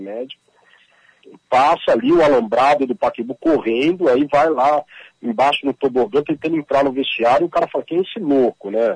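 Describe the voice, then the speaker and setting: A man talks very fast at a fairly high pitch, with ordinary pitch variation. The sound is dry and close, with no echo. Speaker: author and journalist. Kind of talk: interview. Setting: phone call.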